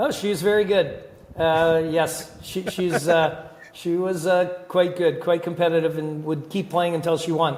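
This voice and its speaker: Over noticeable background noise, a man with a high pitch speaks fairly slowly in a monotone, flat intonation. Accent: Canadian. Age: 60s. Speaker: hockey general manager. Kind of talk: interview.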